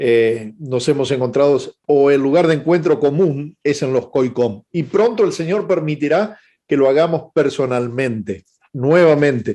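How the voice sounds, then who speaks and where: With a dark, mellow tone and fairly high pitch, a man talks at a fairly slow pace, his loudness very even and his pitch variation ordinary. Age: 60s. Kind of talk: webinar lecture. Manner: hesitant fillers (eh).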